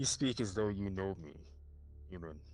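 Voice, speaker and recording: Using a put-on character voice, a man speaks at a moderate pace with a very deep, low pitch over clear background noise. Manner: imposing.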